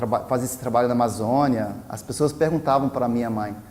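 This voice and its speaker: A man speaks at a medium pitch with an American accent. His pitch varies in an ordinary way, and there is noticeable background noise. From US South, Virginia. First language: English (speaking Portuguese). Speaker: anthropologist. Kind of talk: personal talk to camera. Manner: halting, many restarts and fillers.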